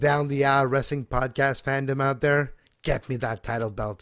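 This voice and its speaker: At a moderate pace, a man speaks with a medium pitch and fairly even intonation on a very clean recording with a silent background. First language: French. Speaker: wrestling podcast host. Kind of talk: casual chat.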